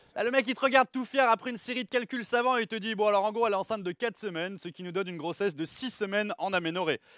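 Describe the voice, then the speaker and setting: A man's high-pitched voice, bright and sharp in tone with ordinary pitch variation, at a very fast pace with hardly any pauses, on a very clean recording with a silent background. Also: dry, close sound with no echo. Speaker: stand-up comedian. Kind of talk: live stand-up comedy routine.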